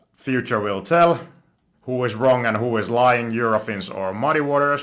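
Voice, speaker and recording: Speaking at a moderate pace, a man talks with a Finnish accent. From Finland. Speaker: stock investing youtuber. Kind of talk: investment analysis monologue. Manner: halting, self-correcting.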